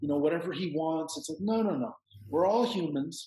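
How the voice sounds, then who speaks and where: This is a plain, everyday voice with a Canadian accent. It moves at a fairly quick pace. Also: man. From Canada. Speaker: psychedelic retreat center owner. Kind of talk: casual interview conversation.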